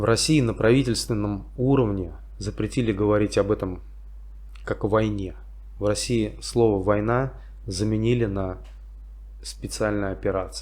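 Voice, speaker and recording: A man with a St Petersburg accent speaks with long, frequent pauses. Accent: Russian, St. Petersburg. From St. Petersburg, Russia. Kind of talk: casual talk to camera. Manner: slow, simple wording.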